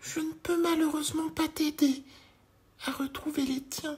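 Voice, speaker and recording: In a put-on character voice, the speaker holds a high pitch with monotone, flat intonation at a moderate pace. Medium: read story.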